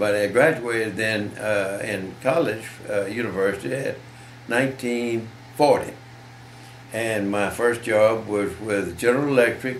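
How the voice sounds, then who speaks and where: A man talks at a fairly slow pace, leaving long, frequent pauses. Audible room echo and noticeable background noise fill the recording. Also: medium pitch for a man, ordinary pitch variation. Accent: Southern US. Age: 90s. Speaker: war veteran. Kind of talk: interview. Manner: halting.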